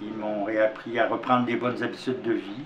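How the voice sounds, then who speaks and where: A man speaking amid noticeable background noise and audible room echo. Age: 70s. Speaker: formerly homeless volunteer. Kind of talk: testimony.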